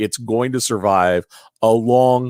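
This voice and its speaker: Recorded very cleanly against a silent background, dry and close with no echo, a man of medium pitch speaks at a fairly slow pace with ordinary pitch variation in a plain, everyday voice. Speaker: podcast host. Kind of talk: tutorial. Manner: casual, many fillers.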